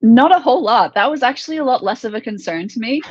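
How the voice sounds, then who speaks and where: Pitch swings very widely while the words come at a fairly quick pace. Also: woman. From US. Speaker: MMA fighter. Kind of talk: interview. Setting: live online show.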